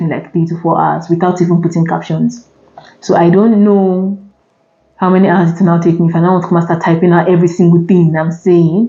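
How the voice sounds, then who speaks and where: With a Nigerian accent, a woman speaks at a fairly quick pace in a fairly low pitch and fairly even intonation. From Nigeria (Imo State). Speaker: vlogger. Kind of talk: casual chat. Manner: fast.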